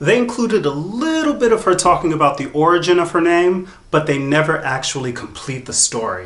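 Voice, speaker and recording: Against noticeable background noise, a man with an American accent talks in a high pitch with lively intonation and hardly any pauses. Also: fairly quick pace. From US South. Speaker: drag queen reviewer. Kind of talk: commentary reaction video.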